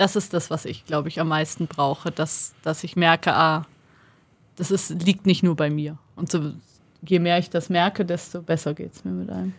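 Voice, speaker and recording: Pitched fairly low with vocal fry, a woman talks at a moderate pace with fairly even intonation and big swings in loudness, on a very clean recording with a silent background. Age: 30s. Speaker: podcast co-host, journalist. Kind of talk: casual chat. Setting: studio.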